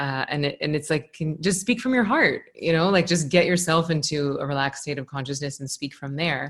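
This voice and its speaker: A woman with a very deep, low pitch speaks at a fairly quick pace with hardly any pauses. Her pitch varies in an ordinary way. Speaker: meditation teacher. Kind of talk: interview. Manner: fast.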